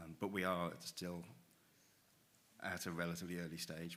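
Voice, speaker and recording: Very deep and low in pitch, a man speaks with a bright, sharp tone and monotone, flat intonation. Room echo is audible. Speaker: rail infrastructure expert. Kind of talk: panel discussion. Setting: stage with audience.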